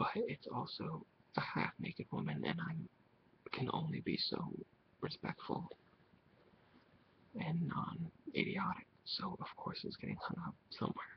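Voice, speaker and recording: A man's relaxed whispering at a fairly slow pace, with long, frequent pauses. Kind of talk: casual talk to camera. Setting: webcam recording, compressed audio. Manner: soft-spoken, relaxed.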